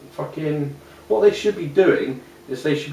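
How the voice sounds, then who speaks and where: An English accent at a moderate pace, with audible room echo and noticeable background noise. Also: man. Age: 30s. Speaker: interviewee with Asperger's syndrome. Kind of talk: casual interview monologue. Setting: at home. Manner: hesitant, many fillers.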